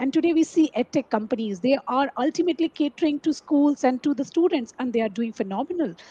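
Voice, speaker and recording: A woman's high pitch and lively intonation at a very fast pace, with hardly any pauses. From India. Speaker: talk show host. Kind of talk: interview. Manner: formal. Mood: polite, warm. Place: home room. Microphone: headset.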